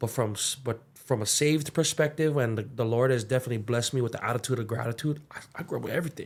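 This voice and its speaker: In a Hawaiian accent, a somewhat breathy man of medium pitch speaks at a very fast pace with hardly any pauses and ordinary pitch variation. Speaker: musician and young adults ministry leader. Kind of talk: interview conversation. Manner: halting.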